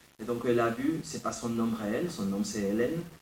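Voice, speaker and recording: In a room with audible echo, a man with a medium pitch and ordinary pitch variation speaks at a moderate pace. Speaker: writer and philosopher. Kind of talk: lecture.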